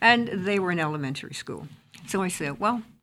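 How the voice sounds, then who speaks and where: A woman with an American accent. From US South. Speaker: interfaith minister. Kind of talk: casual chat. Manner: halting.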